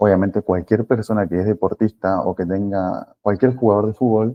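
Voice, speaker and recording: Fairly even intonation at a fairly quick pace. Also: man. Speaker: physiotherapy lecturer. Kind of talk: online lecture. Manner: fast.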